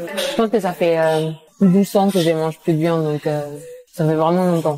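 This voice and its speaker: Fairly low female voice at moderate speed, pitch varying in an ordinary way. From Spain. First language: Spanish (speaking French). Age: 20s. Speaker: engineer, guest sharing eating disorder story. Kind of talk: casual chat. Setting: restaurant in Paris. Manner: hesitant, many fillers.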